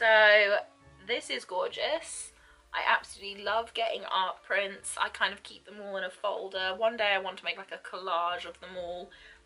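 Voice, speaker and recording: With music playing in the background, a woman talks at a moderate pace in a medium pitch with ordinary pitch variation. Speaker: book unboxing vlogger. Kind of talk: casual talk to camera.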